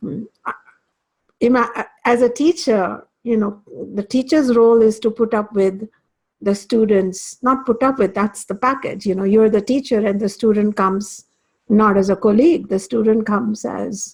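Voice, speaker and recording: Somewhat breathy, the voice belongs to a woman. Her pace is moderate. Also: ordinary pitch variation. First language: Hindi or Sanskrit. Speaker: spiritual teacher. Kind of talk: lecture. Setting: class. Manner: halting.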